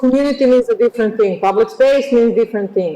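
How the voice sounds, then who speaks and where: There is noticeable background noise. Over it, a woman speaks in a high voice with lively intonation. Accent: Serbian. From Serbia. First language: Serbian. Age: 40s. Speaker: architect and lecturer. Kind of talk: lecture. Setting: auditorium. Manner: halting.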